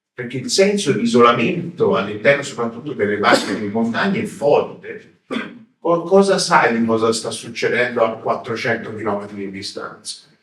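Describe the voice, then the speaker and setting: Speaking at a moderate pace with medium pitch, a man makes very wide pitch swings and big swings in loudness. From Tuscany, Florence. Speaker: history professor. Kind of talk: lecture. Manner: hesitant, many fillers.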